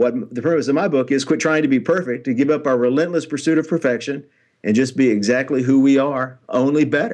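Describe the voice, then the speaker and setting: The man talks very fast with a Tennessee accent, his pitch medium. Pitch variation is ordinary, and the background is quiet. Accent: Tennessee Southern American. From Nashville, Tennessee (US South). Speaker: author and motivational speaker. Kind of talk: interview.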